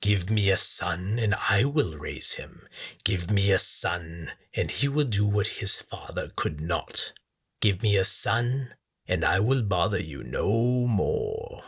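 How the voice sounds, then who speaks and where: A put-on character voice, hissing and menacing in tone, moving at a fairly slow pace. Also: man, fairly low pitch for a man. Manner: hissing, menacing.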